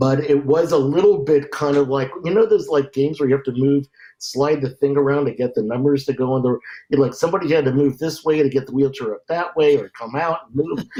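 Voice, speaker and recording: A man with an American accent talks at a very fast pace and fairly high pitch. His tone is dark and mellow, with ordinary pitch variation. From New York suburbs, Westchester. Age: 60s. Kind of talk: casual interview. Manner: halting, repeats words.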